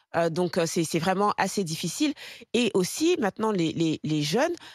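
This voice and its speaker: A woman at a moderate pace with very wide pitch swings, dry sound with no echo, and a quiet background. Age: 40s. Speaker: talk show pundit. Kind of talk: panel debate on talk show. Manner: halting, many repetitions and fillers. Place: studio. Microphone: studio mic.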